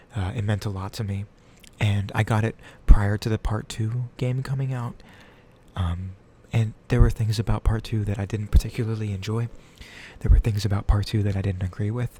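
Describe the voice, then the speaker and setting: A soft-spoken, somewhat breathy man's voice, fairly low in pitch and dark, mellow in tone, with fairly even intonation. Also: very clean recording, silent background. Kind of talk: ASMR tattoo showcase, casual talk to camera. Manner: soft-spoken, quiet.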